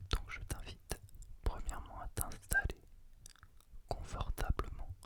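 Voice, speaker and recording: The speaker is whispering. The pace is very slow. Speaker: ASMR creator. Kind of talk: ASMR close-whispered guided relaxation, giving instructions to the listener. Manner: whispered, soft, slow.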